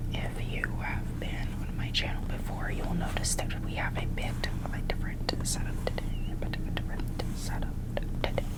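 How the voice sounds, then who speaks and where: Someone whispers with hardly any pauses against noticeable background noise. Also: moderate pace. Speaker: ASMR creator. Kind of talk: ASMR whisper ramble to camera. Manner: whispered, repetitive, rambling.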